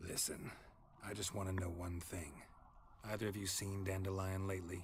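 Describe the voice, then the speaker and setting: A put-on character voice speaks at a moderate pace with monotone, flat intonation. Clear background noise is present. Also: man, very deep, low pitch for a man. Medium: video game. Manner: terse, dry, clipped sentences.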